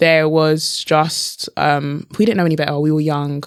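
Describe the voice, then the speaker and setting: In a British accent, a woman speaks at a moderate pace with a very deep, low pitch and fairly even intonation. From London, England. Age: 20s. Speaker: motivational speaker and author. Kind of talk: podcast interview.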